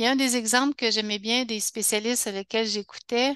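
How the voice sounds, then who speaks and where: The sound is dry and close with no echo as a woman talks at a fairly high pitch. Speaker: health educator. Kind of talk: webinar talk. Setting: online webinar. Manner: halting, many restarts.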